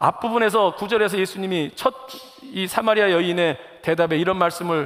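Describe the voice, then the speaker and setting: A man talks at a high pitch and a fairly quick pace with ordinary pitch variation. Noticeable background noise can be heard. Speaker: pastor. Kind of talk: sermon. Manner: fast.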